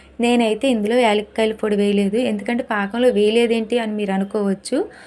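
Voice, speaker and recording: Her intonation is monotone and flat. The woman speaks in a fairly high pitch. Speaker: cooking channel host. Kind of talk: cooking tutorial. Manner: chatty, conversational.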